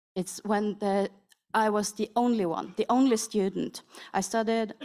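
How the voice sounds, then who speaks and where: A woman with a strong North Norwegian accent, a fairly high pitch, a dark, mellow tone, a moderate pace and a monotone, flat intonation. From Northern Norway. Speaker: panelist, Sami artist. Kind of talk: roundtable panel talk.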